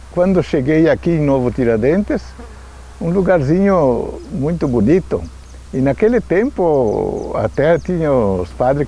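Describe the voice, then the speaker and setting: The man takes a fairly slow pace, with noticeable background noise underneath. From Rio Grande do Sul, Brazil. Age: 80s+. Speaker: local elder. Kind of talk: testimony.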